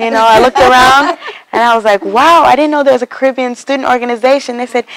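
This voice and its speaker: Talking at a very fast pace with an American accent, a woman uses a high pitch and fairly even intonation against noticeable background noise. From Texas. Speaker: student organization president. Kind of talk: interview. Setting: university campus.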